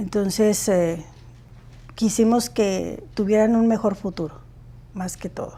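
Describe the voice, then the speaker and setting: A woman with a Mexican accent speaks at a moderate pace, taking long, frequent pauses. Her tone is dark and mellow, her pitch medium, and her pitch variation ordinary. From Mexico, Baja California. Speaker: student's parent. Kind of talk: interview.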